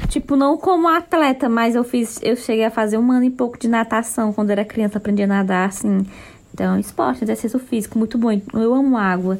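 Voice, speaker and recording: A woman with a plain, everyday voice speaks fairly quickly at a fairly high pitch, with ordinary pitch variation and very even loudness. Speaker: podcast co-host. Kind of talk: casual chat.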